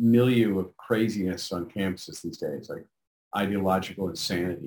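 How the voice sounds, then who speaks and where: Using a plain, everyday voice, a man with an American accent talks at a moderate pace. His pitch is fairly low, with ordinary variation. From New York City, Manhattan Upper East Side. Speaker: novelist. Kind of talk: interview.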